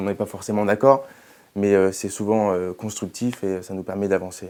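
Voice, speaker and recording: A man with a slight Toulouse accent speaks at a fairly quick pace in a fairly low pitch, his tone dark and mellow and his intonation monotone and flat, on a very clean recording with a silent background. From Toulouse, southern France. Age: young. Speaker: hotel group executive. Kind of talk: interview. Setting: TV studio. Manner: hesitant, many fillers.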